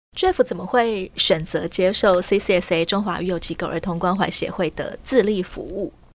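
This is a normal speaking voice with ordinary pitch variation and hardly any pauses. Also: woman, medium pitch for a woman, fairly slow pace. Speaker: podcast host. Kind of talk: interview.

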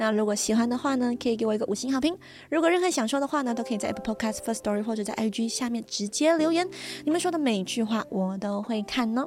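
With lively intonation and a fairly high pitch, a woman speaks at a very fast pace. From Malaysia. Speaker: podcast host. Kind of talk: casual monologue.

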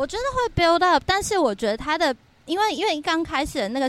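Very wide pitch swings from a woman speaking at a moderate pace. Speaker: podcast co-host. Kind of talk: casual chat. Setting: windy rooftop balcony at her home.

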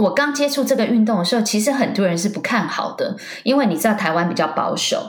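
A woman speaks at a very fast pace with lively intonation. Both audible room echo and noticeable background noise can be heard. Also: fairly high pitch for a woman. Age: 40s. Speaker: wakesurf athlete and businesswoman. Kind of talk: interview.

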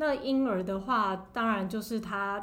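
A woman with a fairly high pitch speaks at a fairly slow pace amid audible room echo. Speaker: pediatrician. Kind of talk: interview.

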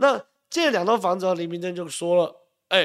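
A man with a Taiwanese accent speaks in an animated tone at a high pitch and a fairly quick pace, on a very clean recording with a silent background. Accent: Taiwanese Mandarin. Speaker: political commentator. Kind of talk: live political talk show. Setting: live stream studio.

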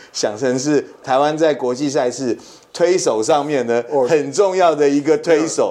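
A man's voice with a dark, mellow tone and lively intonation. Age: middle-aged. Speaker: podcast co-host, sports marketing executive. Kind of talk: casual chat.

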